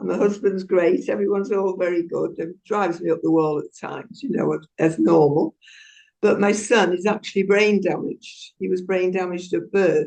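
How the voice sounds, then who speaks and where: Vocal fry marks this woman's voice. Her tone is dark and mellow, with ordinary pitch variation. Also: medium pitch for a woman, moderate pace. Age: 80s+. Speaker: audience participant. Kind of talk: casual chat. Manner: halting.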